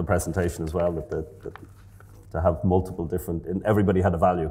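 With an Irish accent, a man talks at a very fast pace in a very deep, low pitch and a dark, mellow, somewhat breathy tone. His intonation is monotone and flat, over light background noise. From Ireland. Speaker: professor of physiology. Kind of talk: interview. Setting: stage with audience. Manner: halting, repeats words. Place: hall. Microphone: lapel.

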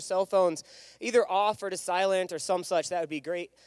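Against a quiet background, a man talks at a fairly quick pace in a high pitch, the sound dry with no echo. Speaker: event host. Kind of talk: emcee announcements. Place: stage. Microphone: handheld.

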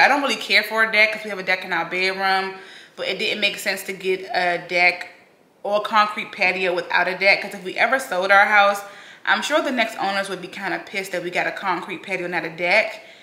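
Audible room echo carries a woman speaking at a fairly quick pace with ordinary pitch variation. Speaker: home vlogger. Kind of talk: casual vlog chat. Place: home room. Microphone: camera far.

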